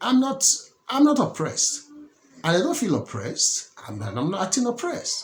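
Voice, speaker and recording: A man with a Nigerian accent, at a moderate pace. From Nigeria (Lagos). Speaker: political commentator. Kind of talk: political commentary monologue. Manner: halting, many repetitions and restarts.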